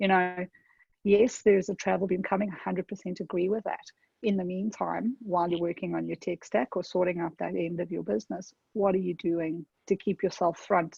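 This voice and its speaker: Speaking at a fairly quick pace, a woman with a South African accent keeps a medium pitch and fairly even intonation. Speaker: tech consultant. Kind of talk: webinar presentation. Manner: conversational, with fillers.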